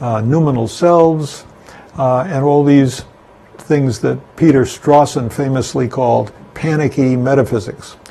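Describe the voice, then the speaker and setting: Fairly slow speech from a man at medium pitch with ordinary pitch variation, with noticeable background noise and audible room echo. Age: 80s+. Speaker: philosophy lecturer. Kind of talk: lecture. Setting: home studio. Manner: halting.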